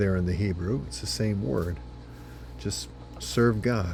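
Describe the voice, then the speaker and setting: Music plays in the background behind a man. His very deep, low voice moves in very wide pitch swings. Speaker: senior pastor. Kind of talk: short devotional sermon.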